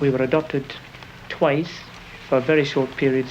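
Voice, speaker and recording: Over noticeable background noise, a man speaks at a fairly high pitch. His intonation is fairly even. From northern England, Morpeth, Northumberland (born Glasgow). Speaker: marathon runner. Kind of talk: interview testimony. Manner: hesitant, many ums and repeats.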